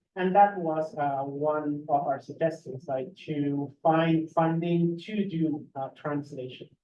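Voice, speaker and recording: The delivery moves at a very slow pace. It has hardly any pauses. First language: Spanish. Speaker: graduate student. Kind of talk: panel discussion. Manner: hesitant with fillers.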